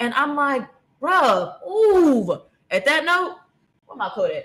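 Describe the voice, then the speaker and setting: A woman speaks loudly in an animated tone. Her pitch swings very widely. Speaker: livestream host. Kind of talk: casual storytelling livestream.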